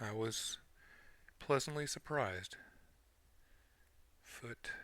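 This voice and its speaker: Quiet and very slow, a man's voice has a bright, sharp tone and ordinary pitch variation. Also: medium pitch for a man. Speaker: model kit builder. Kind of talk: tutorial. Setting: at his desk. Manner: quiet muttering to himself; louder for key points.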